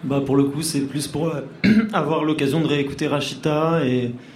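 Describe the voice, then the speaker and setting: Over noticeable background noise, a man with a fairly high pitch speaks at a moderate pace in a flat monotone. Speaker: band member. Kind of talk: casual interview.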